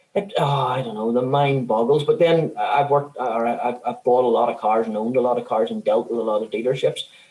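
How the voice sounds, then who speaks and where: A man at a very fast pace with hardly any pauses, over noticeable background noise. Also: medium pitch for a man, ordinary pitch variation. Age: 50s. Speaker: electronic engineer and car owner. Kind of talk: casual chat. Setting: video call. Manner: halting.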